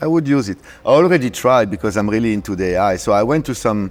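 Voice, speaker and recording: A man with a French accent at medium pitch, talking fairly quickly with very wide pitch swings. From France (Paris). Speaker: DJ and producer. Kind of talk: casual interview chat.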